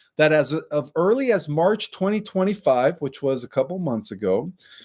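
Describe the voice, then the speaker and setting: On a very clean recording with a silent background, a man speaks at a moderate pace with lively intonation. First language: Spanish. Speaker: online conspiracy commentator. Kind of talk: casual monologue to viewers. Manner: filler-heavy, frequent 'right' and 'okay'.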